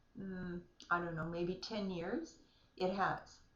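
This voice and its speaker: A woman with a Canadian accent at a fairly slow pace, with audible room echo. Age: 60s. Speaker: vlogger with multiple sclerosis. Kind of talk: casual video diary. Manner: hesitant, many fillers.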